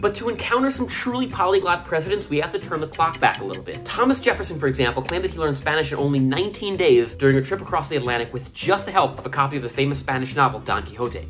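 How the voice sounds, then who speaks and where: Over faint music in the background, a man talks at a very fast pace with hardly any pauses. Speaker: language content creator. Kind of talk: explainer commentary. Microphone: phone near.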